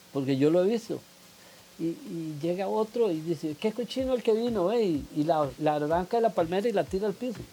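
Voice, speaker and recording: The speaker talks at a fairly quick pace. Their intonation is lively. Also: man, high pitch for a man. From Costa Rica, Cartago. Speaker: environmental campaigner and football fan. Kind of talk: interview. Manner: halting, many fillers.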